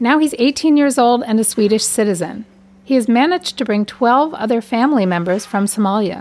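The voice has a slightly mellow tone, ordinary pitch variation, and a moderate pace. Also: woman.

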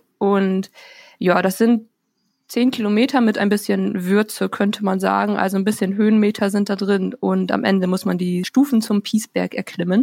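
A woman with a normal speaking voice talks at a medium pitch with fairly even intonation. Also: moderate pace. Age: 20s. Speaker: student intern. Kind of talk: casual chat. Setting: remote recording.

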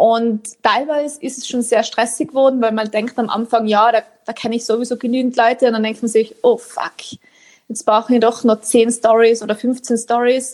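A woman with an Austrian accent, fairly high pitch, monotone, flat intonation and moderate pace. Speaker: author. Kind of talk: interview.

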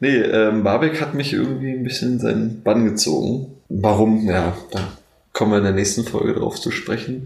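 A man with vocal fry at a moderate pace, amid audible room echo. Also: fairly low pitch for a man, ordinary pitch variation. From Brandenburg, Germany (Neuruppin). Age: 20s. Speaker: university student. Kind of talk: casual chat.

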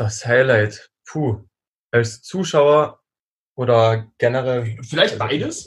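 A man talks very slowly in a somewhat breathy voice. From Austria. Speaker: strength athlete. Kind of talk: casual chat.

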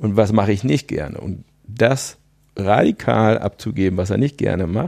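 A man's fairly low, dark, mellow voice with vocal fry, dry and close with no echo, in a very clean recording with a silent background. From Münsterland, north-western Germany. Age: 50s. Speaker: business coach. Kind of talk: podcast interview.

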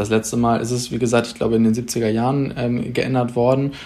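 The man's intonation stays monotone and flat. His pitch sits in the medium range. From northern Germany, Pinneberg district near Hamburg. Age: 20s. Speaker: young party politician, local councillor. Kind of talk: podcast debate. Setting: remote recording.

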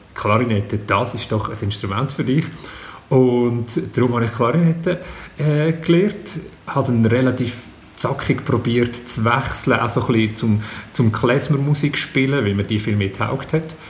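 A man speaks at a medium pitch. Noticeable background noise runs under the recording. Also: ordinary pitch variation, moderate pace. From Switzerland, Zug. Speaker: comedian. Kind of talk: casual chat.

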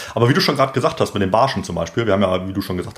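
Noticeable background noise surrounds a man speaking at a very fast pace. His pitch is fairly low. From northern Germany, Bremen. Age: 30s. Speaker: professional angler. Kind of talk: casual interview. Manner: enthusiastic.

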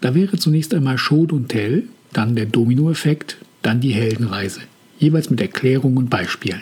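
A man with an ordinary speaking voice, medium in pitch, at a moderate pace, his loudness very even and his intonation lively. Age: 50s. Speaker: podcast host, hobby author. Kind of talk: scripted monologue. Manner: formal.

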